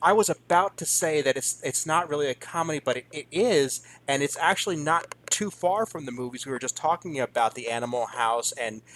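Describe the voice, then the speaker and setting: In a normal speaking voice, a man talks at a fairly quick pace with hardly any pauses, a fairly high pitch and lively intonation, the sound dry and close with no echo. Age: 30s. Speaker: podcast host. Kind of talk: casual interview chat.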